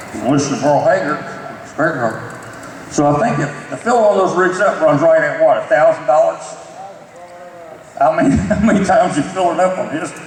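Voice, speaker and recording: Speaking in a Southern US accent, a man talks at a fairly quick pace in a high pitch with ordinary pitch variation. His speech has long, frequent pauses, and there is noticeable background noise. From Kentucky. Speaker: monster truck announcer. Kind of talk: award acceptance speech. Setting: banquet hall with audience.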